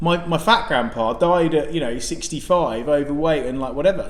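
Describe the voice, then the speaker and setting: Lively intonation marks a man's fairly high-pitched voice, heard with audible room echo and noticeable background noise. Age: young. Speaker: podcast co-host. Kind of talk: casual chat. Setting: restaurant. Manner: loud; animated.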